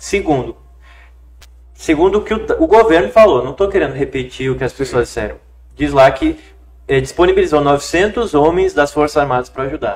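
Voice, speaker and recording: A man keeps a fairly quick pace in a very clean recording with a silent background. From Rio Grande do Sul, Brazil. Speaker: lawyer and city council pre-candidate. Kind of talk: podcast interview answer.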